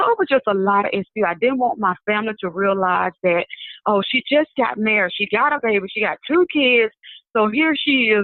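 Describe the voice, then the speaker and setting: In a Southern US accent, a woman with a fairly high voice speaks at a moderate pace with lively intonation. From Mobile, Alabama. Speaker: prophetess and minister. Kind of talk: interview answer.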